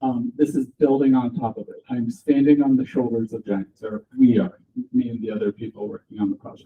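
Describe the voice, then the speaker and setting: At a fairly quick pace, a man with an American accent talks at medium pitch with ordinary pitch variation and big swings in loudness. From USA. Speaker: software developer, conference speaker. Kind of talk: tech talk. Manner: loud, projecting.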